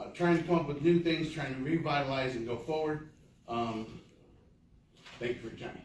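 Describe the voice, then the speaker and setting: Big swings in loudness mark a man's speech in an American accent, broken by long, frequent pauses, with audible room echo and noticeable background noise. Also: fairly high pitch for a man, ordinary pitch variation. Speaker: community volunteer. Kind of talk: public meeting address. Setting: city council meeting. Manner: fast; halting.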